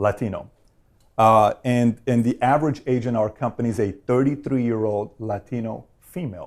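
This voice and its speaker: A man speaks in a plain, everyday voice with ordinary pitch variation. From Iran, then Glendale, California from age 12. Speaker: insurance company founder, interviewer. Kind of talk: interview.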